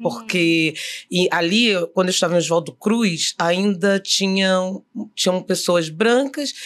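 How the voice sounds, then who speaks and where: Very slowly, a woman speaks at medium pitch with lively intonation. Her loudness stays very even. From Rio de Janeiro suburbs, Brazil. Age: 50s. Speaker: actress and director. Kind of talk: interview, personal story.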